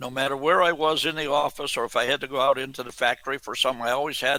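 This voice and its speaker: With an American accent, a man talks at a very fast pace in a fairly high voice. The tone is bright and sharp, the sound dry and close with no echo. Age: 80s+. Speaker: military history researcher. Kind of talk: radio interview. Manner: animated.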